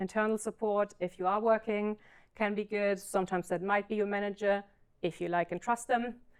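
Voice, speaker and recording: In a very clean recording with a silent background, a woman's voice sounds dry and close, with no echo. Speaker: ADHD coach and speaker. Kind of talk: conference talk. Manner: fast.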